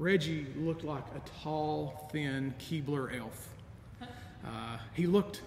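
Here a man speaks with audible room echo. Light noise is heard in the background. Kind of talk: sermon. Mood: warm, nostalgic, gently humorous. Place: church.

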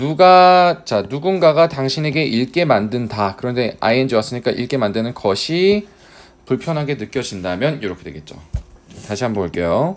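Medium pitch from a man, very wide pitch swings at a moderate pace. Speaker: English teacher. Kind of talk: lecture.

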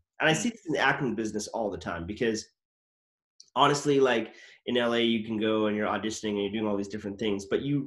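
Against a quiet background, a man speaks with a fairly low pitch. His pitch variation is ordinary. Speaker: actor and comedy channel host; actor, comedy channel host. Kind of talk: casual interview chat. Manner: animated. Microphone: webcam.

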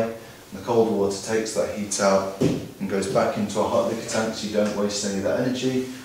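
A man's fairly low voice in strong room echo, with light background noise. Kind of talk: explanatory tour talk. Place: factory.

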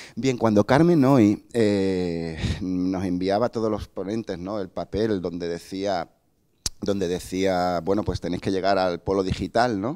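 Over a quiet background, a man with a very deep, low pitch and a dark, mellow tone speaks at a fairly slow pace with fairly even intonation. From Cádiz, Andalusia, Spain; Andalusia, Spain. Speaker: museum digital department head; speaker. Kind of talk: conference lecture. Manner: hesitant, many fillers and self-corrections. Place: hall. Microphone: handheld.

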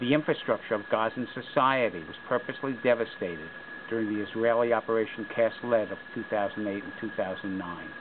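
A man speaks at a fairly quick pace with big swings in loudness amid noticeable background noise. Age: 60s. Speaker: peace activist. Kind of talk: personal statement to camera. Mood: earnest, serious. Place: open country. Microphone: camera far.

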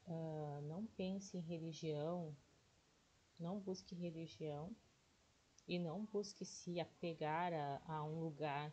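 Very slow, somewhat breathy speech from a woman, dark and mellow in tone and very even in loudness. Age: 40s. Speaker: day trading YouTuber. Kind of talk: casual tutorial livestream.

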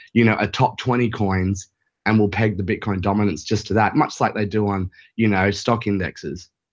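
A man with an Australian accent speaks at a fairly quick pace. His voice is fairly low in pitch over a quiet background. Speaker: caller, crypto trader. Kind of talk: phone-in discussion. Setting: Skype call.

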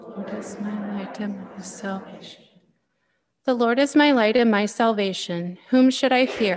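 A woman's fairly high voice at a fairly slow pace, with ordinary pitch variation, big swings in loudness and light background noise. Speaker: lay reader at Mass. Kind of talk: reading scripture aloud. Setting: chapel. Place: church. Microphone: podium.

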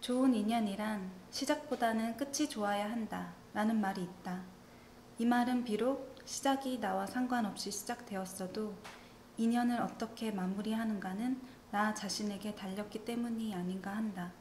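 Fairly slow speech with fairly even intonation, light background noise and audible room echo. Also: woman, fairly high pitch for a woman. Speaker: government statistics office ASMR reader. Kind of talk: ASMR reading of a statistics survey essay. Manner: soft-spoken, whispery, relaxing. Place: home room.

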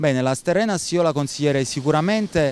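A man talks at a fairly quick pace with lively intonation and a fairly high pitch. The sound is dry, with no echo. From Naples, southern Italy; southern Italy. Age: 40s. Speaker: expat rental manager; interviewee. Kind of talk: interview. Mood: calm, measured. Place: beach. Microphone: handheld.

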